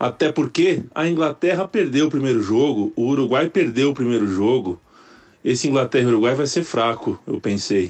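Speaking with a plain, everyday voice, a man at medium pitch keeps a moderate pace, very even loudness and lively intonation. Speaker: podcast host. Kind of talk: recorded voice memo.

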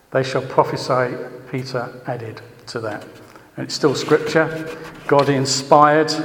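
Over noticeable background noise and audible room echo, a man talks at a fairly slow pace and fairly high pitch, with fairly even intonation and long, frequent pauses. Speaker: church teacher. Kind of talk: sermon. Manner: halting.

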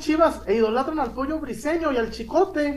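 A man with extremely high pitch talks at a moderate pace with ordinary pitch variation, and room echo is audible. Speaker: sports podcast host. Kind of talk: casual chat. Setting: live stream.

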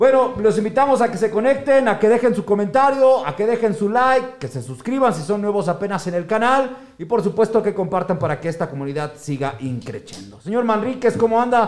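With hardly any pauses, a man with a high pitch talks in an animated tone and lively intonation. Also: fairly quick pace. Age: 50s. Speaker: podcast host. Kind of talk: football analysis chat.

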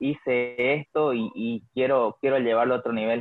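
Medium in pitch, a man talks in an unremarkable speaking voice. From Bolivia, Santa Cruz. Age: 20s. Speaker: rock musician. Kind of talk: casual interview chat.

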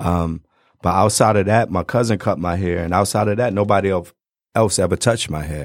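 In a very clean recording with a silent background, a man talks at a fairly quick pace in a very deep, low pitch with ordinary pitch variation. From Detroit. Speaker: barber. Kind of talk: casual chat. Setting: studio.

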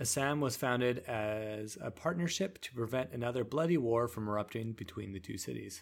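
A man talks in an ordinary speaking voice at a medium pitch with ordinary pitch variation. His pace is fairly quick with hardly any pauses, in a very clean recording with a silent background. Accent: Canadian. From Canada, Vancouver Island. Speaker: podcast host. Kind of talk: casual chat mixed with reading lore aloud.

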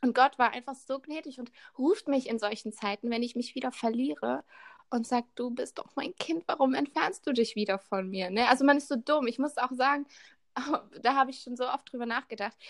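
A woman with a high pitch and ordinary pitch variation is heard in a dry, close sound with no echo. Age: 20s. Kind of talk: casual chat.

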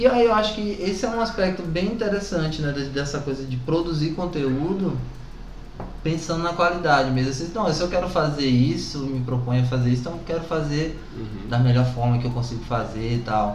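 A man with a fairly high pitch, lively intonation, and a fairly quick pace, amid audible room echo and noticeable background noise. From Brazil, southern Bahia. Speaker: artist and teacher. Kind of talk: casual chat.

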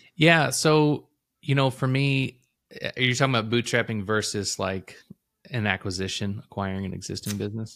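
With an American accent, a man talks at a moderate pace and medium pitch, with ordinary pitch variation and a plain, everyday voice. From Illinois, US Midwest. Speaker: entrepreneur, former IT professional. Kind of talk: casual interview chat. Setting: remote call.

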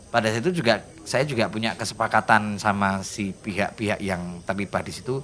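A man is speaking. His pace is moderate. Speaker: singer, writer and Javanese language activist. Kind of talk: casual interview chat.

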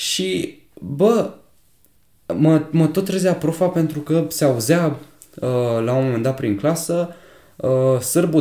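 The voice has a dark, mellow tone with lively intonation. It moves at a very slow pace. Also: man. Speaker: podcast co-host. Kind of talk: casual chat.

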